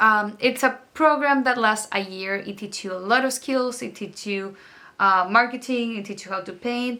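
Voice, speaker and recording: A woman's bright, sharp tone at a moderate pace, with ordinary pitch variation and a strong non-native accent. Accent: thick foreign accent in English. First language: not English. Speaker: artist and art mentor. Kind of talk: casual vlog talk to camera. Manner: rambling with many fillers.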